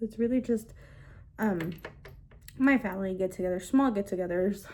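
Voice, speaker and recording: Her intonation stays fairly even at a moderate pace. The woman's pitch is medium. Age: 20s. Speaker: beauty vlogger. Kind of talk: get-ready-with-me casual chat. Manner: casual, many fillers.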